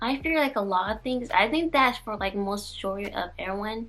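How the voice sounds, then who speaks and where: A woman's fairly high voice at a moderate pace, a normal speaking voice, with lively intonation. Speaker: lifestyle vlogger. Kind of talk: personal reflective vlog monologue. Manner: rambling with frequent fillers.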